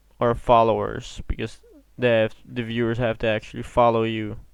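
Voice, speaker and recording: A man's medium-pitched voice with a Dutch accent at a fairly slow pace. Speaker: gaming streamer. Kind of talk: live stream chat. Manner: casual.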